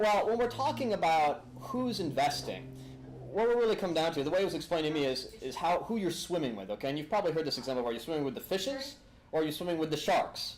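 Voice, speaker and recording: Over background music and audible room echo, a man talks at a very fast pace in an animated tone, his fairly high pitch swinging very widely. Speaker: attorney and lecturer. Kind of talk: lecture. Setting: room with live audience, filmed.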